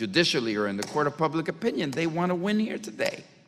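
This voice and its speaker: With very wide swings in pitch, a man talks in a high voice. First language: not English. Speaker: congressman. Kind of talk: committee debate.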